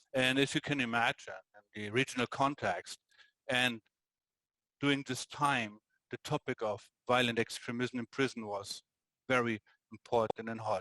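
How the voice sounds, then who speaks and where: With a German accent, a man talks at a moderate pace in a bright, sharp tone at medium pitch. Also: dry, close sound with no echo. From Germany. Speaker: prison governor. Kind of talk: interview.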